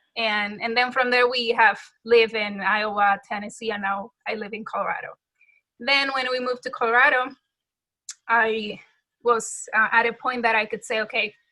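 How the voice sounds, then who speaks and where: A woman with a Dominican accent speaks at a fairly high pitch and moderate pace. Her tone is bright and sharp, her intonation monotone and flat. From Dominican Republic. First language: Spanish. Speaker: music teacher. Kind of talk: interview.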